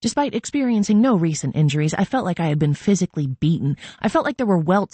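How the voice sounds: The intonation here is lively. It comes in a natural reading voice.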